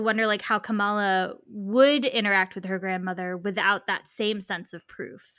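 A woman's bright, sharp voice at medium pitch, moderate pace and hardly any pauses, on a very clean recording with a silent background. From South Florida, West Palm Beach. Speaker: author. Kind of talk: casual chat. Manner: animated.

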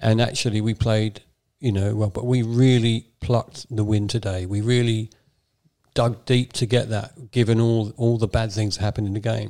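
A man's dark, mellow voice with an English accent and monotone, flat intonation. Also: medium pitch for a man, moderate pace. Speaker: football podcast co-host. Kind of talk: casual chat.

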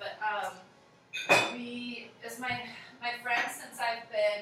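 A woman with a high-pitched voice talks amid noticeable background noise. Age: 30s. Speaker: photographer and singer. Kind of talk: casual chat. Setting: at her home.

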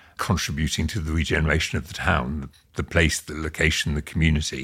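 A man's very deep, low voice with vocal fry, in a very clean recording with a silent background. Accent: British. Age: 60s. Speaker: property developer and chairman. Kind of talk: casual interview.

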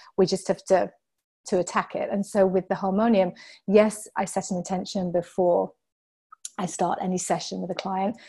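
Taking long, frequent pauses, a woman speaks at a moderate pace and medium pitch in a southern English accent, her somewhat breathy voice monotone and flat. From southern England. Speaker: author and healing practitioner. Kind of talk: casual interview chat.

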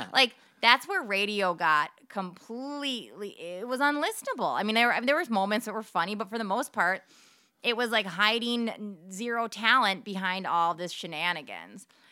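Speaking at a moderate pace, a woman uses an ordinary speaking voice with a fairly high pitch and lively intonation. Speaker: radio traffic reporter. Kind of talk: casual interview chat. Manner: chatty, rambling.

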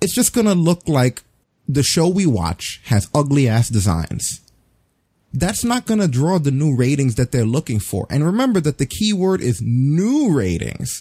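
Recorded dry and close with no echo on a very clean, silent background, a man speaks at a moderate pace with a fairly high pitch, a somewhat breathy, dark, mellow tone and very wide pitch swings. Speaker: podcast host. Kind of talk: casual chat. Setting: live stream.

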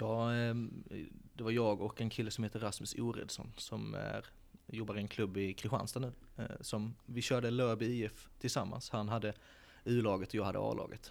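In a fairly low voice, a man talks at a moderate pace with monotone, flat intonation. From Sölvesborg, Blekinge, Sweden. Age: 20s. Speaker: football academy director. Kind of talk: interview. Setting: stadium stands.

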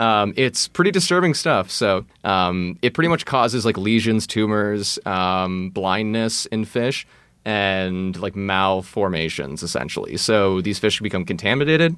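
In an American accent, a normal speaking voice moves at a fairly slow pace with lively intonation, on a very clean recording with a silent background. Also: man, fairly low pitch for a man. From Texas, Austin. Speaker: faux expert guest. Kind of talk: casual chat.

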